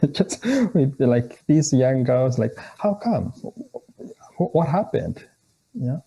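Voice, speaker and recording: Somewhat breathy and dark, mellow in tone, a man speaks with fairly high pitch at a fairly slow pace with long, frequent pauses. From Kenya. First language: a Kenyan language. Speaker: theology scholar. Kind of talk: interview conversation. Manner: halting, with frequent repetitions.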